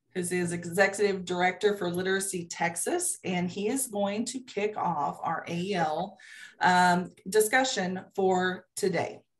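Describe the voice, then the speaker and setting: A woman's somewhat breathy voice, medium in pitch, at a fairly slow pace with fairly even intonation. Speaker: state agency program official. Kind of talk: video-call committee meeting presentation. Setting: video call.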